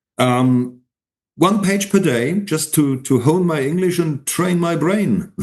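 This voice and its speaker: A man speaks with a German accent at a very slow pace. His voice is high-pitched, with ordinary pitch variation. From Germany. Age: 70s. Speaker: independent historian and retired teacher. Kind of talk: interview. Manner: halting, with many repeated words.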